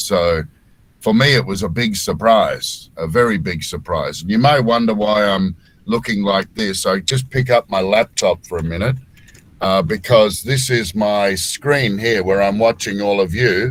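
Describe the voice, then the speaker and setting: A man talks at a moderate pace with a fairly low pitch. His pitch varies in an ordinary way. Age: 60s. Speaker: voice-over artist. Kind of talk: casual chat. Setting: home studio. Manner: halting.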